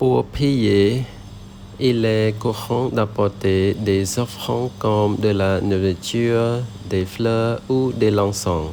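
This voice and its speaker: Amid noticeable background noise, a man with a Cambodian accent speaks very slowly at a fairly low pitch, with fairly even intonation and very even loudness. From Cambodia, Siem Reap region. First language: Khmer (speaking French). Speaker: French learner, vlogger. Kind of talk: scripted narration.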